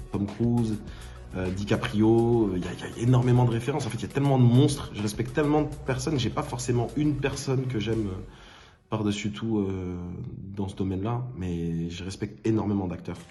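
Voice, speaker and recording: A man's fairly low voice with lively intonation at a fairly quick pace, with audible room echo. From France, Bordeaux. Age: 20s. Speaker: actor. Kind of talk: self-presentation interview. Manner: hesitant, many fillers.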